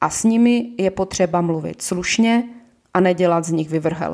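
Woman with an ordinary speaking voice, medium pitch, ordinary pitch variation, and a fairly slow pace. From Ostrava, Czechia. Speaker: podcast host, shop manager. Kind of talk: political monologue podcast.

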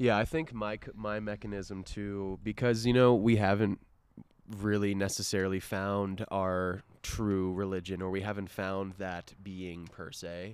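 With an American accent, a man speaks at a fairly slow pace in an unremarkable speaking voice, fairly low in pitch with fairly even intonation. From Florida, US. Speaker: podcast co-host, father. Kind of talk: casual chat. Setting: outdoors at parents' house.

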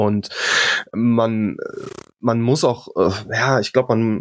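In a very clean recording with a silent background, a man has an ordinary speaking voice at a medium pitch with ordinary pitch variation and a dry, close sound with no echo. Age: 30s. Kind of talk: casual chat.

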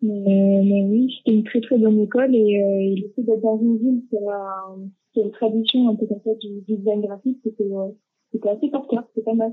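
A woman's monotone, flat delivery with hardly any pauses. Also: fairly high pitch for a woman, moderate pace. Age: 20s. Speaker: graphic design student. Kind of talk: casual chat. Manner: halting.

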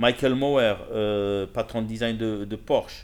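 A very slow, fairly evenly intoned man's voice at a medium pitch. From Morocco, Casablanca. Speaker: car dealership director and magazine founder. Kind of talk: casual interview. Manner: halting, with many repetitions.

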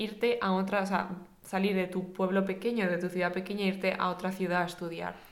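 A woman of medium pitch talks at a fairly quick pace in a monotone, flat intonation, with audible room echo. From Spain. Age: 20s. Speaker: podcast co-host. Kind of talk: casual chat.

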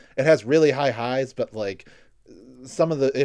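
On a very clean recording with a silent background, the voice is an ordinary speaking voice with ordinary pitch variation at a moderate pace. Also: man. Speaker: podcast host and video creator. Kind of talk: casual chat.

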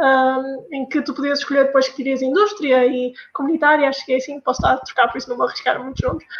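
A woman with a northern Portuguese accent speaks in a high voice with fairly even intonation. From northern Portugal. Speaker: pharmacy student. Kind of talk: casual chat.

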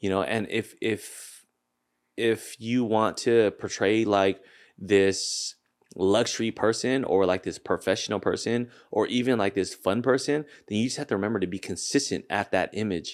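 This man has a plain, everyday voice with an American accent, fairly low in pitch and ordinary in its pitch variation. He speaks at a moderate pace on a very clean recording with a silent background. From US Pacific Northwest, Seattle. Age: 30s. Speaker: real estate broker and social media influencer. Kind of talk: casual chat.

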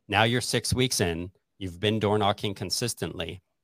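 With an unremarkable speaking voice and fairly low pitch, a man talks at a moderate pace in a very clean recording with a silent background and a dry, close sound with no echo. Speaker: real estate agent and podcast host. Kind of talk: casual interview.

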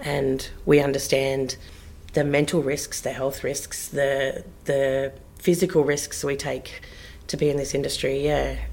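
With an Australian accent, a woman speaks fairly slowly at a very deep, low pitch in a monotone, flat intonation. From southwest Western Australia (Bridgetown). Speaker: theatre artistic director. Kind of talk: interview conversation.

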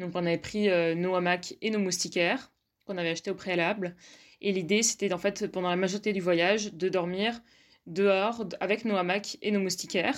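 At a moderate pace, a woman speaks in an unremarkable speaking voice of medium pitch with fairly even intonation, on a very clean recording with a silent background. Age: 20s. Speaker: student. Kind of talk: personal storytelling.

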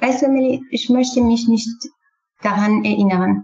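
In a Kurdish accent, a woman speaks at a fairly slow pace with fairly even intonation. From Syria, Kurdish. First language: Kurdish (speaking German). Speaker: refugee, former student. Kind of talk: interview. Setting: online call. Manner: halting.

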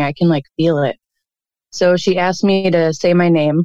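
A woman with a plain, everyday voice, fairly low in pitch, with fairly even intonation and an American accent, in a dry, close sound with no echo. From Cleveland, Ohio. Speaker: caller. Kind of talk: storytelling, childhood ghost story. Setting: phone call.

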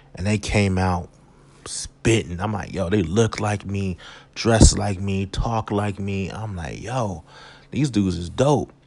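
The man's pitch sits fairly low, with ordinary variation. He speaks at a fairly slow pace. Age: 30s. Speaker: podcast host and comedian. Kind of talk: casual monologue.

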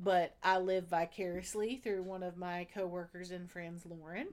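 Her tone animated, a woman with a Southern US accent speaks at a medium pitch. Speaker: podcast host. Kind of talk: casual solo video monologue. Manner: chatty, animated, laughs often.

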